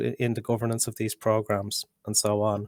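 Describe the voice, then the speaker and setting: Fairly quick speech comes from a man with an Irish accent. The recording is very clean and dry, close-sounding with no echo and a silent background. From Ireland. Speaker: policy researcher. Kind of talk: panel discussion. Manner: halting, many repetitions.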